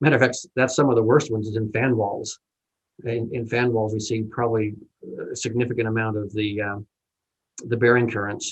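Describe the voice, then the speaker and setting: With a somewhat breathy, medium-pitched voice, a man speaks at a fairly quick pace in a monotone, flat delivery broken by long, frequent pauses. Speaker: engineer presenter. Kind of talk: webinar presentation. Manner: fast.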